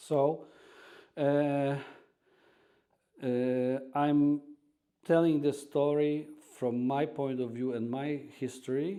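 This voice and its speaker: This voice has a dark, mellow tone and a Polish accent, with a monotone, flat intonation. It moves at a very slow pace, broken by long, frequent pauses. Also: man, fairly high pitch for a man. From Poland, Warsaw. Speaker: radio host and restaurant owner. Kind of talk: casual interview chat. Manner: halting, many fillers.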